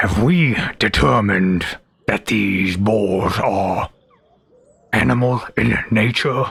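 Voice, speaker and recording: Using a put-on character voice, a man speaks raspily at a fairly low pitch, very slowly, with long, frequent pauses and very even loudness. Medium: actual play.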